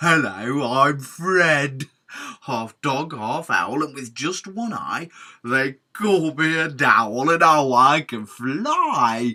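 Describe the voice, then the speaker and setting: A put-on character voice at a very slow pace. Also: man, fairly high pitch for a man. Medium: read story.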